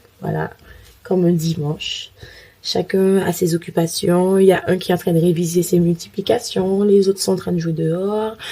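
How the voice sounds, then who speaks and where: A woman's fairly low, fairly evenly intoned voice comes through noticeable background noise. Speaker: family vlogger. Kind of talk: casual vlog talk to camera.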